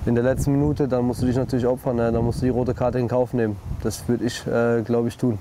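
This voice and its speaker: A man talks at a fairly quick pace, the sound dry with no echo and light background noise behind him. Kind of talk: interview answer. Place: waterside.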